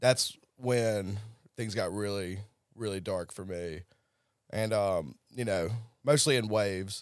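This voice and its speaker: In a Southern US accent, a man speaks very slowly with long, frequent pauses and ordinary pitch variation, on a very clean recording with a silent background. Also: fairly low pitch for a man. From US South (Tennessee, then Jackson, Mississippi). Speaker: person in addiction recovery. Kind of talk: personal testimony.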